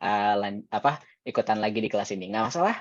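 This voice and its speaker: A man's voice at a medium pitch. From Indonesia, Jakarta. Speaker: teacher. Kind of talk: online class. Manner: mixes Indonesian and English.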